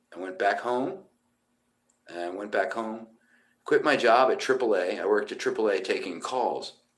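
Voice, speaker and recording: An American-accented man speaks at a moderate pace with long, frequent pauses and audible room echo. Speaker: musician. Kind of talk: casual live stream chat. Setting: motel room. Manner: loud.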